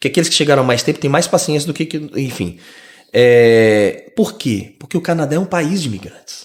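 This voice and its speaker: A man with a plain, everyday voice speaks at a fairly high pitch. He talks at a fairly quick pace with lively intonation. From Brazil, Rio de Janeiro. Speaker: immigrant podcast guest. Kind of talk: casual interview chat.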